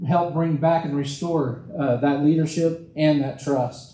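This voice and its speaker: A man with an American accent talks at a moderate pace, with audible room echo around him. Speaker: political candidate. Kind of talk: campaign speech. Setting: church hall with audience. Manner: loud.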